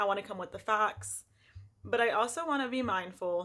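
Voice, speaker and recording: On a very clean recording with a silent background, a woman talks at a moderate pace in a shaky, medium-pitched voice with ordinary pitch variation. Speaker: lifestyle vlogger. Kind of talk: casual vlog monologue. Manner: shaky voice.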